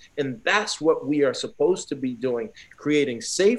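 An unremarkable speaking voice from a man at a fairly high pitch and moderate pace. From Newark, New Jersey. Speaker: former pro football player and sports sociologist. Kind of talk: interview.

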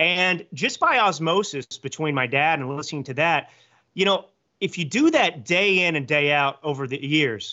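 A man with an American accent, fairly high-pitched, with lively intonation and a plain, everyday voice. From Texas, Dallas area. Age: 30s. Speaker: author and political commentator. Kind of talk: interview.

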